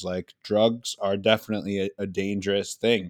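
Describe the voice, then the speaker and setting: With an American accent, a man speaks at a moderate pace in a fairly low pitch and a monotone, flat intonation, the sound dry and close with no echo on a very clean recording with a silent background. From US, Philadelphia. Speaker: rapper and entrepreneur. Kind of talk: interview.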